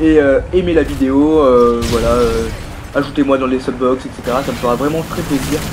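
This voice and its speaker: A man of medium pitch talks at a moderate pace with fairly even intonation, amid noticeable background noise and audible room echo. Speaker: gaming youtuber. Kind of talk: gameplay commentary. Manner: hesitant, many fillers.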